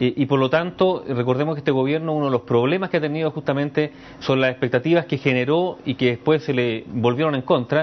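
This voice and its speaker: At a very fast pace with hardly any pauses, a man speaks at a fairly high pitch with ordinary pitch variation. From Chile. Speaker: political commentator. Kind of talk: news analysis interview. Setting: remote link from radio studio. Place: studio. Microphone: lapel.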